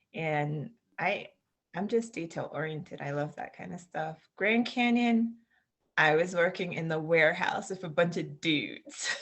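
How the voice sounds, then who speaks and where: A woman speaks fairly slowly in a Floridian accent, her pitch fairly low with ordinary variation. Her loudness swings widely. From Southwest Florida, US. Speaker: English teacher, expat. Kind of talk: interview.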